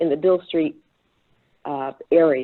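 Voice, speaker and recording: A woman talks with a Memphis accent. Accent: Southern US (Memphis). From US South, Memphis, Tennessee. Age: 70s. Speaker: panelist, priest. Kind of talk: panel discussion.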